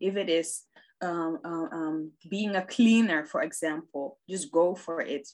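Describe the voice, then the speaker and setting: Fairly low female pitch and ordinary pitch variation from a woman. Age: 20s. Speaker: podcaster and network marketer. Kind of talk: casual chat about faith. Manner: halting, many fillers.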